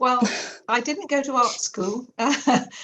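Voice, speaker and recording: Speaking with an English accent, a woman talks at a fairly slow pace with ordinary pitch variation. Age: 60s. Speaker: artist and art teacher. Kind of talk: interview.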